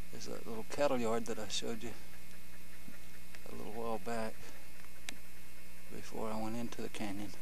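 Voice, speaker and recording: At a fairly quick pace, the voice comes through with very even loudness and a dry sound with no echo, though noticeable background noise sits behind it. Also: man. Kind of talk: casual travel narration. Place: open country. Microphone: old recording.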